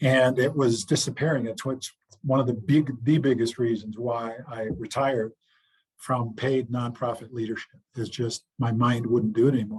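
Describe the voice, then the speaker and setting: A man's somewhat breathy voice moves at a fairly slow pace. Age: 60s. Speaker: retired football player and chaplain. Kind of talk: interview. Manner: halting, many fillers.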